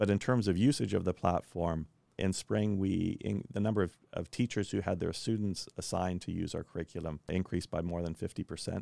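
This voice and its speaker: A very deep, low-pitched man in a US Midwestern accent, fairly quick with hardly any pauses, fairly even intonation, and a dry, close sound with no echo. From Kansas, US Midwest. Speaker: education technology founder. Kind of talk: interview.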